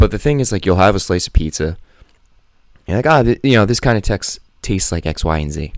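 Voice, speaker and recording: A man speaks very fast with lively intonation and a fairly low pitch. He leaves long, frequent pauses. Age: 20s. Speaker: podcast host. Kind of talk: casual monologue. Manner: animated.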